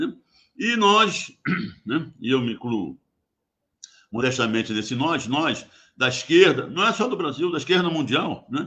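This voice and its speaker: A man speaks with a fairly high, bright, sharp voice whose pitch swings very widely. He leaves long, frequent pauses. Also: fairly slow pace. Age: 80s+. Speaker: geologist, former oil company worker. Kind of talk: radio interview.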